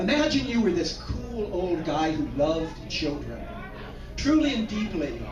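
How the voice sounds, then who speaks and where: A man talks fairly slowly while music plays in the background. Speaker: slam poet. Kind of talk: slam poetry performance.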